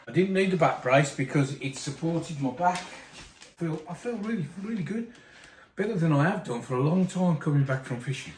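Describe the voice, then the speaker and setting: Music plays in the background as a man speaks. He has a fairly high pitch and a fairly quick pace. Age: 60s. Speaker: angler reviewing gear. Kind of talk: casual chat. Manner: animated.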